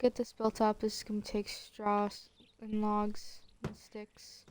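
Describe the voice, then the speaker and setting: Quiet overall but with big swings in loudness, a woman speaks at a fairly slow pace and fairly high pitch in a monotone, flat way. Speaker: gaming streamer. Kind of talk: gameplay commentary. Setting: at home. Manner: casual, hesitant with fillers.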